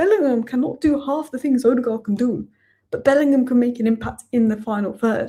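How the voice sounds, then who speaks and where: In an English accent, a woman with a high pitch and a dark, mellow tone talks at a fairly quick pace. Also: ordinary pitch variation. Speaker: football YouTuber. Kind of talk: post-match reaction video. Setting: home at night. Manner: quiet, subdued.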